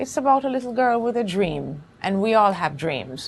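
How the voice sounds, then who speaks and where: A woman speaks at a moderate pace with a Jamaican accent. The background is quiet. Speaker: actress and playwright. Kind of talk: interview.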